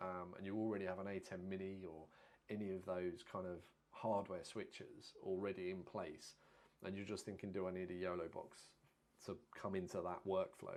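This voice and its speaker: Quiet and at a moderate pace, a man talks in a very deep, low voice with flat, monotone intonation. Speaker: videographer live streamer. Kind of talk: live stream product talk. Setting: live stream. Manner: talking quietly. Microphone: audio too low, quiet.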